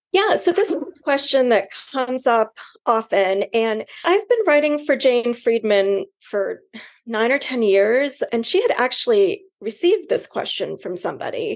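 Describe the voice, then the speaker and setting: At a fairly slow pace, a woman with an American accent speaks at a high pitch with very wide pitch swings. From California, suburban. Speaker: book editor. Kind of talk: interview answers.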